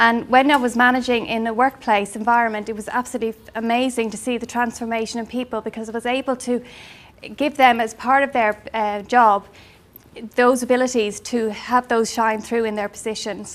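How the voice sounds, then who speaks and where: A woman's fairly high voice with an Irish accent, monotone and flat in intonation. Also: fairly quick pace. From Ireland. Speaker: life coach. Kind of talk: business presentation. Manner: hesitant, many fillers.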